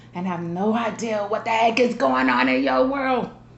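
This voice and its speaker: The voice moves at a moderate pace with very wide pitch swings, amid noticeable background noise and audible room echo. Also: woman. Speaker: vlogger. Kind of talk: casual monologue to family.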